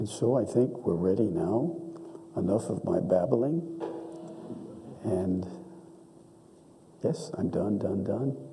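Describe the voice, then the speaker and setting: Delivery is very slow, with long, frequent pauses and very wide pitch swings. Noticeable background noise and audible room echo fill the recording. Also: man. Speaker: donor and benefactor. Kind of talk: speech at a ceremony. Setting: auditorium with audience.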